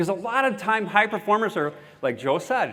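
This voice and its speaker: Lively intonation marks this man's fairly quick speech. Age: 60s. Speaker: keynote speaker. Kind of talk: keynote speech. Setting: stage with audience.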